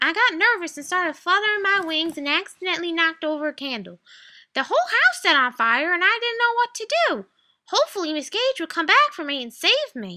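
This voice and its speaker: A woman uses a put-on character voice at an extremely high pitch. She speaks at a fairly quick pace in a raised, projected voice. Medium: read story.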